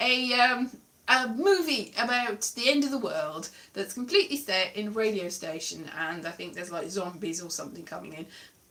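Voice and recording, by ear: A woman's fairly high, bright, sharp voice in a South Wales accent, at a moderate pace with very wide pitch swings.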